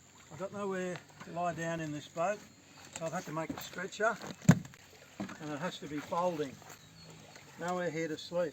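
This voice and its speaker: A high-pitched man with long, frequent pauses over noticeable background noise. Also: ordinary pitch variation, moderate pace. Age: 70s. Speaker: dinghy sailor. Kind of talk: show-and-tell tutorial; narration. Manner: casual.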